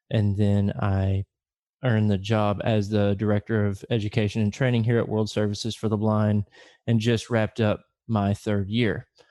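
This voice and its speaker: Over a quiet background, a man with a Southern US accent speaks in a monotone, flat way at a fairly low pitch with a dark, mellow tone. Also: moderate pace, very even loudness. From US South, Little Rock, Arkansas. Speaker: director of blind education programs. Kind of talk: podcast interview.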